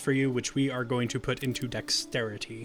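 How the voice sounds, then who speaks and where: A man's fairly quick speech runs with music in the background. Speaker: gaming let's play host. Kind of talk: casual gameplay commentary.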